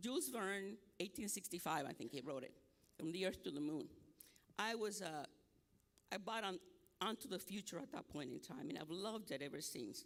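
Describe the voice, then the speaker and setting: A man with a Nicaraguan accent speaks at a fairly quick pace in a high pitch for a man, his pitch swinging very widely, with long, frequent pauses. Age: 70s. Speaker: academic speaker. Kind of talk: conference presentation.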